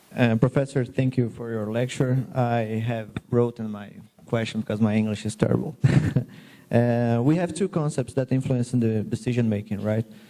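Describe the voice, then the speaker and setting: With a Portuguese accent, a man speaks at medium pitch and moderate pace with ordinary pitch variation, noticeable background noise behind him. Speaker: medical resident. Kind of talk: audience question. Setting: auditorium with audience. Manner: halting.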